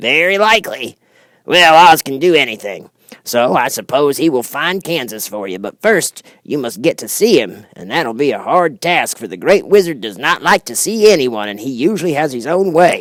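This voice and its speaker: Doing a put-on character voice, a man speaks at a moderate pace with a fairly high pitch, very wide pitch swings and big swings in loudness. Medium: read story. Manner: folksy, chatty, thoughtful.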